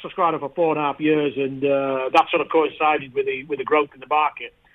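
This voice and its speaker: Talking at a very fast pace, a man with a northern English accent keeps his intonation fairly even. His pitch is fairly high for a man. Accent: northern English, noticeable. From northern England. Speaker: ETF industry founder. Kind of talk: interview. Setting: phone call from London.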